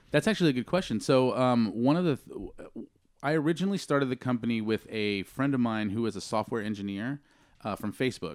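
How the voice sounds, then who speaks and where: Talking very fast with an American accent, a man at a medium pitch uses lively intonation and big swings in loudness, captured in a very clean recording with a silent background. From Texas, San Antonio and Rio Grande Valley. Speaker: cannabis entrepreneur, company CEO. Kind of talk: casual interview chat.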